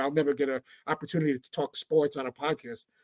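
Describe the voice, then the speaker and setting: Speaking in a New York accent, a man talks at a fairly quick pace in an animated tone, the sound dry and close with no echo. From New York, Brooklyn. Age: 50s. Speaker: sports radio producer. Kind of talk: casual interview. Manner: fast.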